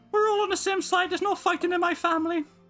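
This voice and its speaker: A man does a put-on character voice at a very fast pace. Faint music plays behind him. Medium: game stream.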